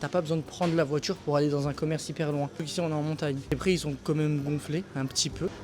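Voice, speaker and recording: A man talks quietly at a very fast pace. His voice is somewhat breathy. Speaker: travel vlogger. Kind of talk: casual vlog commentary. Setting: campsite shop; outdoors at a campsite. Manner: animated; speaking quietly.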